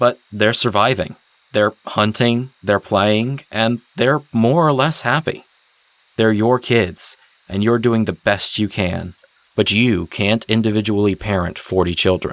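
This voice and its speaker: A dramatic tone at a fairly slow pace, with ordinary pitch variation. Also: man, fairly low pitch for a man, very even loudness. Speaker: video essayist / head-canon storyteller. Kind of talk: dramatic story reading, second-person narration. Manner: earnest, dramatic, building tension.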